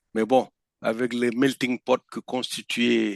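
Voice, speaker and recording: The recording is dry and close with no echo, carrying a man's medium-pitched voice. He talks at a very slow pace with fairly even intonation. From northeastern Senegal. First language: Pulaar (Fula) (speaking French). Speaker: veteran conference interpreter. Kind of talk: podcast interview.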